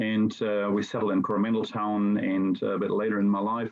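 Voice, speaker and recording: In a German accent, a man speaks at a moderate pace with a fairly low pitch. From Germany. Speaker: teacher. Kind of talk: presentation. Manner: halting, many fillers.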